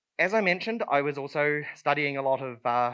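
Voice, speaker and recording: A man with a New Zealand accent, a bright, sharp tone and fairly high pitch, against a quiet background. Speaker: conference speaker. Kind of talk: conference talk. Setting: stage with audience. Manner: hesitant, many fillers.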